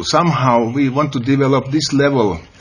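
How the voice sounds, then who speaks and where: A man with a Finnish accent and a fairly high pitch, audible room echo, noticeable background noise. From Finland. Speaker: educator, conference panelist. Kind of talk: conference presentation. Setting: panel at a senate hall. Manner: halting.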